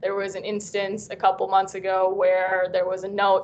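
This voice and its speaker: A woman with a Vietnamese accent speaks at a moderate pace and medium pitch. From US, Vietnamese American family. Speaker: university student panelist. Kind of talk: panel discussion.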